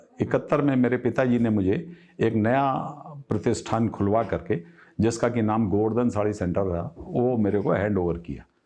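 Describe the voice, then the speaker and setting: This man has ordinary pitch variation. He has a normal speaking voice. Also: medium pitch for a man. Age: 60s. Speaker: textile business owner. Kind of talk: interview.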